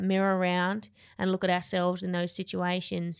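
A woman with an Australian accent at a moderate pace, on a very clean recording with a silent background. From Tasmania, Australia. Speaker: podcast host and gym owner. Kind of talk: casual interview; scripted narration.

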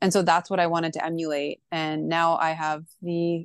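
In a Canadian accent, a woman with a fairly low pitch speaks in a flat monotone at a moderate pace, the sound dry and close with no echo and a quiet background. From Canada. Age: 40s. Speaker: wine professional. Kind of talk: casual chat.

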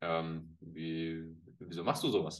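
A man is speaking. His pace is very slow. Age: 40s. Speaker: former pro footballer and football pundit. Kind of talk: casual interview.

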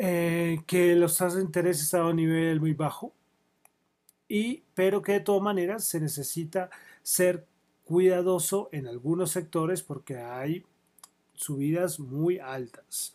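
A high-pitched man with a dark, mellow tone, ordinary pitch variation and a fairly slow pace, on a very clean recording with a silent background. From Colombia. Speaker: economic news podcast host. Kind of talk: news roundup with casual commentary. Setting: live radio broadcast. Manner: hesitant, many fillers and repetitions.

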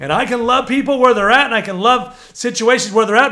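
Bright and sharp in tone, a man raises and projects his voice at an extremely high pitch. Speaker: prophetic minister and podcast host. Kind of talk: preaching monologue. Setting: at home. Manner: loud, passionate; animated.

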